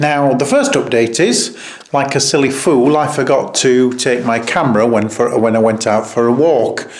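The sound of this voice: A man is speaking. His pace is slow.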